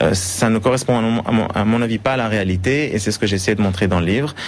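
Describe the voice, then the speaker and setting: Fairly quick delivery with ordinary pitch variation over noticeable background noise. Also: man. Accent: Swiss. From Switzerland, Geneva. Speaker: financial analyst and author. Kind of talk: TV interview. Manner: hesitant, many repetitions.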